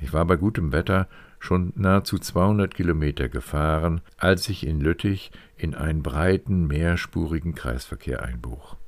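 With vocal fry, a man speaks very deep and low at a fairly slow pace. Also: ordinary pitch variation. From northwestern Germany, County of Bentheim. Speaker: podcast host and author. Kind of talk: scripted narration.

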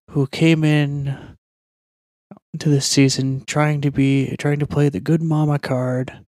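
Quiet and very slow, a man speaks with a fairly high pitch, a dark, mellow tone and monotone, flat intonation. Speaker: MMA podcast segment host. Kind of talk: casual commentary.

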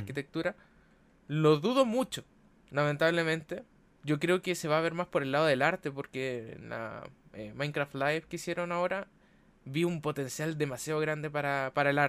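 Someone with a Chilean accent speaks at a fairly quick pace with ordinary pitch variation in a very clean recording with a silent background. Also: man. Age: 20s. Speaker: architect and streamer. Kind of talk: casual chat.

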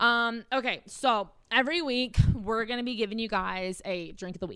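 A woman with an American accent speaks in a fairly high pitch with lively intonation and a bright, sharp tone. The recording is very clean, with a silent background. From South Carolina. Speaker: podcast co-host. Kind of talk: casual chat. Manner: animated.

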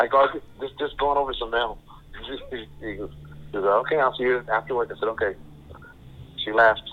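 A man speaks at a medium pitch and moderate pace with ordinary pitch variation and long, frequent pauses. Noticeable background noise is present. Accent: American. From Sacramento, California. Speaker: guest sharing DNA discovery story. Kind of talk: storytelling interview.

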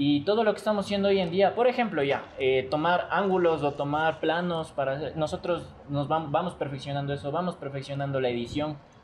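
Over noticeable background noise, a man with a fairly high pitch and ordinary pitch variation speaks at a fairly quick pace with hardly any pauses. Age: 20s. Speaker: video content creator. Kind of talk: casual chat.

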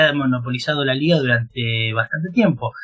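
A man talks with an Argentine accent. His pace is moderate. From Argentina. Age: 30s. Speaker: football writer. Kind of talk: interview.

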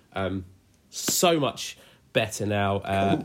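Lively intonation from a man with an English accent. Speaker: church youth podcast host. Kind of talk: casual chat. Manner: upbeat, frequent fillers.

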